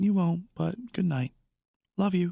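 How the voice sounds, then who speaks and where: A man puts on a raspy character voice at a high pitch. The sound is dry and close, with no echo. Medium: read story.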